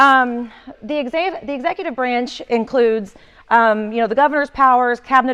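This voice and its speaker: Loud and high-pitched, a woman speaks with an Oklahoma accent and ordinary pitch variation. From northeastern Oklahoma. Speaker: communications executive giving training. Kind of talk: training presentation.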